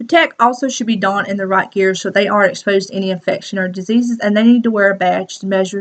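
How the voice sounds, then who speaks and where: Speaking in a Southern US accent at a very fast pace, a woman keeps a medium pitch with ordinary pitch variation. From US South, South Carolina. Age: 20s. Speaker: student. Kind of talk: class presentation.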